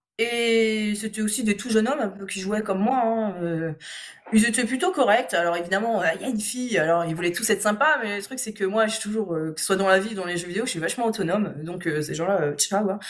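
Amid noticeable background noise, a woman talks at a medium pitch with ordinary pitch variation. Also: fairly quick pace. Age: 30s. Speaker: gamer and video game blogger. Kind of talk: casual interview.

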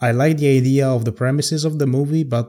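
In an Italian accent, a man speaks with fairly even intonation. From Italy. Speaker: podcast host. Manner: hesitant, halting.

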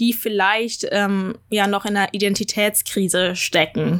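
A woman speaks in an ordinary speaking voice, pitched fairly high, at a moderate pace. Her intonation stays fairly even, and the recording is very clean with a silent background. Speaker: podcast host. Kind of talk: casual chat.

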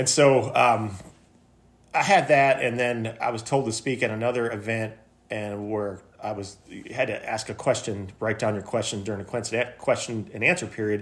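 The man uses a plain, everyday voice with a medium pitch. He keeps a moderate pace and fairly even intonation. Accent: American. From Michigan, US. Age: 50s. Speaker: small business owner. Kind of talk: casual chat.

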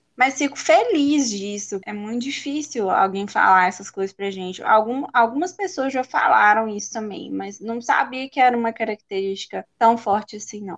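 Over a quiet background, a woman with a normal speaking voice talks at a moderate pace, her fairly high pitch showing ordinary variation and her loudness swinging widely. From Belo Horizonte, Minas Gerais, Brazil. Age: 20s. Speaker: dental student. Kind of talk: casual interview.

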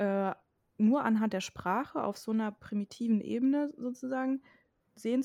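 A woman's fairly high voice with ordinary pitch variation and a fairly slow pace, dry and close with no echo, on a very clean recording with a silent background. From western Germany near the Dutch border. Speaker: podcast co-host. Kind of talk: casual discussion.

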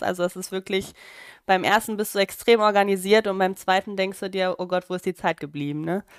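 Medium in pitch, a woman speaks at a moderate pace in an unremarkable speaking voice. The sound is dry and close with no echo, and the recording is very clean against a silent background. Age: 30s. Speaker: midwife. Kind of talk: casual interview.

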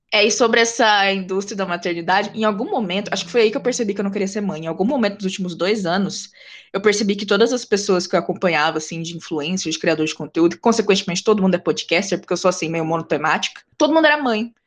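A woman with a medium pitch and ordinary pitch variation speaks very fast, with hardly any pauses. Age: 20s. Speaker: podcast host. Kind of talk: casual interview chat. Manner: animated.

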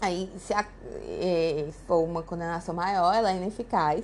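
A woman speaks in a medium pitch with a Brazilian accent. Her intonation stays fairly even. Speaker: law teacher. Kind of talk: lecture reading statutes aloud.

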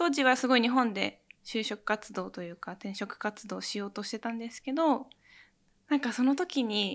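This very clean recording has a silent background and catches a woman in an ordinary speaking voice. Her loudness swings widely while her pitch varies in an ordinary way at a moderate pace. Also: fairly high pitch for a woman. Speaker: cooking researcher and pastry teacher. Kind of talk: interview.

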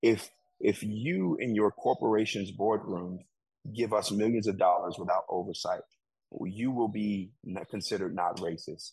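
A man with an American accent, fairly low-pitched, at a moderate pace with fairly even intonation, an unremarkable speaking voice. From Chicago, US Midwest. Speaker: community organization director. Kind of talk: interview.

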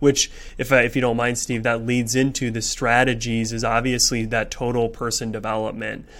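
A man's medium-pitched voice with monotone, flat intonation at a moderate pace. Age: 20s. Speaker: podcast host, marketing manager. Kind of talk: casual business podcast discussion; scripted outro.

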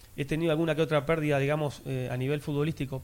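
Speech rushes along at a very fast pace while the intonation stays fairly even. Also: man. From Uruguay. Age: 40s. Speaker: former footballer and sports commentator. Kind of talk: casual interview chat.

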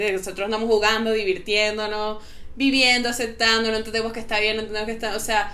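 Very fast speech from a woman with a fairly high pitch, plus audible room echo and noticeable background noise. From Venezuela. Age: young. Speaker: psychotherapist. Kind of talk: casual chat. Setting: remote call.

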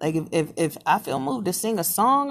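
Her pitch swings across a very wide range. The speaker is a woman. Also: very clean recording, silent background. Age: 30s. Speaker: podcaster. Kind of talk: casual monologue. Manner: halting.

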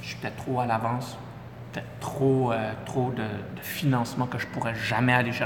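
A man with a Quebec accent speaks at a moderate pace and medium pitch, with audible room echo and noticeable background noise. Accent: Québécois French. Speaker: entrepreneur. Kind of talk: interview.

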